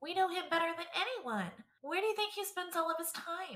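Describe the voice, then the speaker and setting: A squeaky, put-on character voice rattles along at a fairly quick pace. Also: female-sounding voice, extremely high pitch for a woman. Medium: audio drama.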